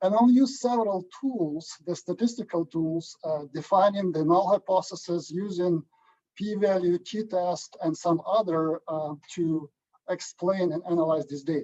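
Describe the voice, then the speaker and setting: With a Ukrainian accent, a man speaks in a high pitch with a dark, mellow tone and ordinary pitch variation, his voice dry and close with no echo. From Ukraine. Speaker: agronomy statistician. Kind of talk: lecture. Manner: halting.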